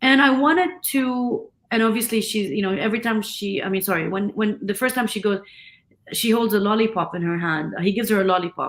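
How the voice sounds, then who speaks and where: A fairly high-pitched woman with an Arabic accent, lively intonation and a fairly quick pace. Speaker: film director. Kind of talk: interview conversation.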